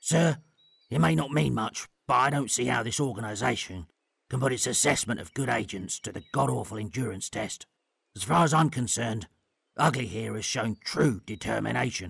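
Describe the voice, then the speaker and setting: A man's put-on character voice, raspy and medium-pitched, delivered at a moderate pace. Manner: earnest, determined.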